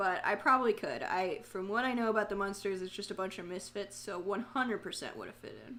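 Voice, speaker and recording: Talking very fast with hardly any pauses, a woman with an Orlando accent uses a medium pitch, ordinary pitch variation, big swings in loudness and an animated tone. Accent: Orlando accent (said by self). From Florida, Orlando. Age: 20s. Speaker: streamer. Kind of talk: casual live stream chat. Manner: chatty, animated.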